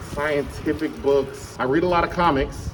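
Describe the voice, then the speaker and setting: Speaking at a fairly slow pace with ordinary pitch variation, a man is heard with audible room echo and noticeable background noise. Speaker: middle school teacher. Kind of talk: casual interview. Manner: loud.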